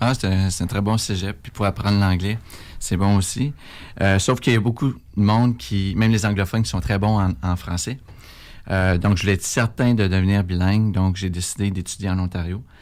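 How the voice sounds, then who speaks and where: A man with a Quebec accent talks at a moderate pace and fairly low pitch, with ordinary pitch variation, on a very clean recording with a silent background. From Quebec City area, Canada. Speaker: political candidate. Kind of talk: radio interview. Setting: radio studio. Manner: hesitant, many fillers.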